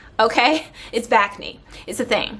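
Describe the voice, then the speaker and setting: Noticeable background noise runs under this recording. A woman speaks with ordinary pitch variation. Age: 30s. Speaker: beauty and wellness vlogger. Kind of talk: casual vlog talk. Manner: animated.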